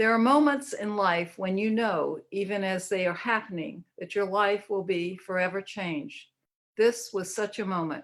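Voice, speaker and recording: A woman with a Southern US accent talks at a fairly slow pace, her pitch varying in an ordinary way. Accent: Southern US (Georgia). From US South, Georgia. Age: 70s. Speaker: therapist, book contributor. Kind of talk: reading aloud.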